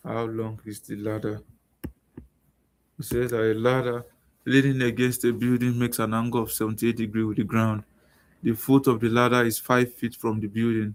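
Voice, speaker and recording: This soft-spoken voice moves at a moderate pace in a flat monotone, broken by long, frequent pauses. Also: man, medium pitch for a man. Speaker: math and science tutor. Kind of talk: tutorial. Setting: live stream.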